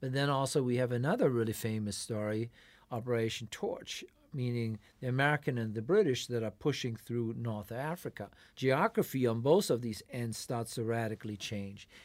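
A man with an unremarkable speaking voice talks at a moderate pace with a medium pitch and ordinary pitch variation in a very clean recording with a silent background. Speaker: professor. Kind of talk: academic discussion. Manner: formal.

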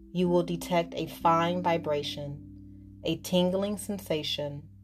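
With music in the background, a woman of fairly low pitch speaks at a fairly slow pace in a calm, soothing tone with fairly even intonation. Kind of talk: guided hypnosis relaxation induction. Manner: slow, calm, soothing, hypnotic and repetitive.

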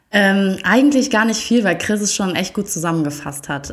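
At a moderate pace, a woman with an unremarkable speaking voice and a medium pitch speaks with ordinary pitch variation. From Germany. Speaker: TV presenter. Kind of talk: casual chat. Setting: in a living room.

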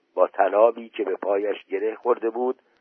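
What you hear is plain reading aloud.

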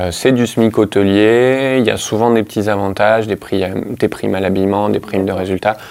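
A man with an ordinary speaking voice and a fairly low pitch talks at a fairly quick pace with fairly even intonation and hardly any pauses. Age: 30s. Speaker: hotel manager. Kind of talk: interview.

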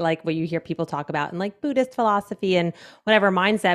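An unremarkable speaking voice with an American accent and ordinary pitch variation. The sound is dry and close with no echo, in a very clean recording with a silent background. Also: woman. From New Jersey. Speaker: podcast host. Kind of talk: casual chat.

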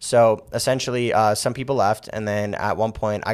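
In a very clean recording with a silent background, a man speaks with a slight New York accent. He moves at a fairly quick pace. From Las Vegas, US. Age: 20s. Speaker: real estate agent. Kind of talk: casual interview.

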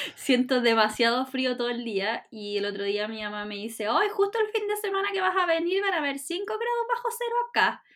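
Over noticeable background noise, a woman with a Chilean accent speaks fairly quickly in a high pitch, her voice making very wide pitch swings. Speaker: podcast co-host. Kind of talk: casual chat.

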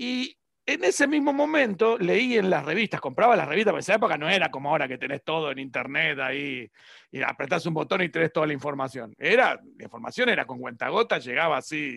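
A man's bright, sharp voice moves at a fairly quick pace with very wide pitch swings. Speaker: reverse engineering teacher. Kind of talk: interview conversation.

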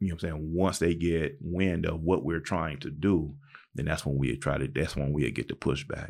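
Speaking at a moderate pace with an American accent, a man uses a very deep, low voice with vocal fry and fairly even intonation. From Southern California (Pomona, Palm Springs). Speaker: former prisoner, drug and alcohol counselor. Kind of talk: interview. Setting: studio. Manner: halting.

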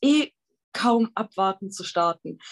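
In a normal speaking voice, a woman talks at a fairly high pitch, the sound dry and close with no echo. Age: 20s. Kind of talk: casual interview.

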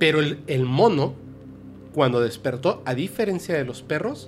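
A man's pitch sits fairly high. He talks at a moderate pace. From Yucatán, Mexico. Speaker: paranormal podcast host. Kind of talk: casual chat.

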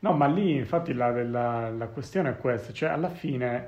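A man speaks at a medium pitch and moderate pace. Audible room echo surrounds the voice. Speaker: podcast host. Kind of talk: casual chat.

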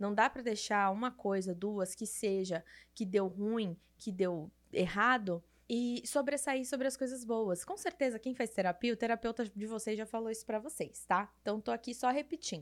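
Animated in tone, a woman talks at a moderate pace and a fairly high pitch with ordinary pitch variation. The recording is very clean, with a silent background. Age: 30s. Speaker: podcast host. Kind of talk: casual solo monologue.

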